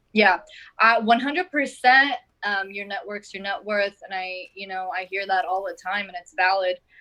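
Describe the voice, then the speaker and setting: Her tone bright and sharp, a woman speaks at a medium pitch and a moderate pace, with ordinary pitch variation and big swings in loudness. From Lebanon. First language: Arabic. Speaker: actress and model. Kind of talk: casual interview chat.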